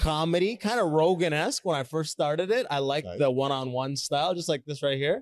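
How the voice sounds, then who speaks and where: A man with a plain, everyday voice talks at a fairly quick pace with hardly any pauses, lively intonation and a fairly high pitch, in a dry, close sound with no echo on a very clean recording with a silent background. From Canada. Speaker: podcast host and stand-up comedian. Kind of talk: casual interview chat. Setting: busy conference hall.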